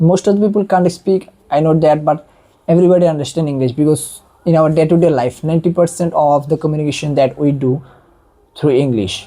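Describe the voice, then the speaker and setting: The speaker has an Indian accent and talks at a fairly quick pace. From India, non-Hindi-speaking region. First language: Indian regional language, not Hindi. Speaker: online educator. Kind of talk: monologue tutorial.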